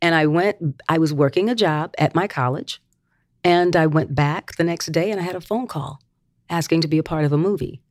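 With an American accent, a woman talks fairly quickly in an ordinary speaking voice with ordinary pitch variation, recorded very cleanly with a silent background and a dry, close sound with no echo. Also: fairly low pitch for a woman. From North Carolina, Gastonia. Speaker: singer and actress, music teacher. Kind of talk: interview. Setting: school campus recording.

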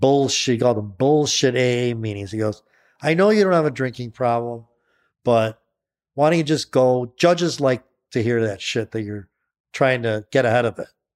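In a very clean recording with a silent background and a dry, close sound with no echo, a man with an ordinary speaking voice talks at a medium pitch and a moderate pace, using ordinary pitch variation. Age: 60s. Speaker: author and entrepreneur in recovery from alcoholism. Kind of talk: casual interview.

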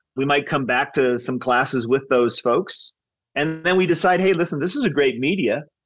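A man with a fairly high pitch and lively intonation speaks in an unremarkable speaking voice. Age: 50s. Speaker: tech startup co-founder. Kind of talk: interview.

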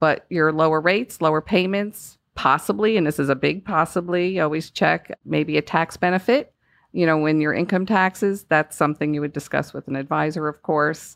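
Against a quiet background, a woman talks at a moderate pace in a very deep, low voice with a Northeastern US accent. The sound is dry and close, with no echo. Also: ordinary pitch variation. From US Northeast. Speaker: home loan specialist. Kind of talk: casual interview.

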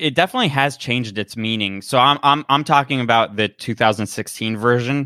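At a moderate pace, a man speaks in a normal speaking voice, his medium pitch rising and falling with ordinary variation. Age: 30s. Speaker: podcast host, guest. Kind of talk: casual interview.

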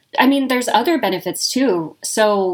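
A fairly high-pitched woman with lively intonation at a moderate pace. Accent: American. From Nevada, Reno. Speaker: business consultant. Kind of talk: interview.

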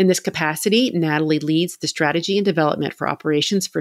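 A woman with a plain, everyday voice talks at a fairly quick pace in a fairly low pitch. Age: 50s. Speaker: podcast host and confidence coach. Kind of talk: interview conversation.

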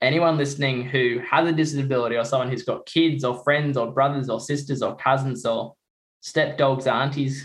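A man's fairly high, somewhat breathy voice in an Australian accent, at a fairly quick pace with fairly even intonation. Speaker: Paralympic swimmer, guest presenter. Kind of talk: casual chat.

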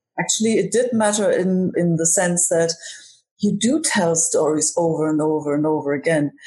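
A woman with a fairly low pitch and a dark, mellow, somewhat breathy tone speaks at a moderate pace, with ordinary pitch variation and very even loudness. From Germany. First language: German. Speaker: comedian. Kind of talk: casual chat.

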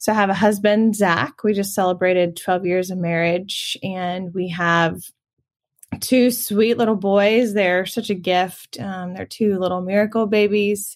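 A woman with an American accent speaks in a normal speaking voice at medium pitch and a fairly slow pace. Her intonation is fairly even, on a very clean recording with a silent background. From US South, Augusta, Georgia. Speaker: nonprofit marketing director. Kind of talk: interview.

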